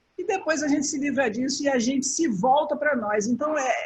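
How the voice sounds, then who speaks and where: The woman's voice is high in pitch. She speaks at a moderate pace. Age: 60s. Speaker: travel agent. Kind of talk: interview.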